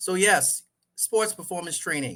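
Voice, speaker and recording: The man's voice has a fairly high pitch, vocal fry and a bright, sharp tone. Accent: Caribbean. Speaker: sports coach and trainer. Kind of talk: podcast interview.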